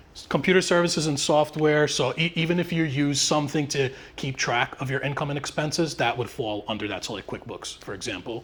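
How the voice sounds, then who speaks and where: Noticeable background noise runs under this man's voice. He speaks at a fairly quick pace with hardly any pauses. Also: ordinary pitch variation. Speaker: tax professional presenting to real estate agents. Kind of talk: live presentation. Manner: fast.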